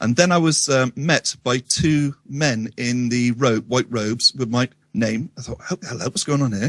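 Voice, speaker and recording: In a dry, close sound with no echo, a man with a Wiltshire accent talks at a moderate pace and medium pitch, with ordinary pitch variation and hardly any pauses. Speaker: radio show guest. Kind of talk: casual storytelling interview. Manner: halting, many ums and restarts.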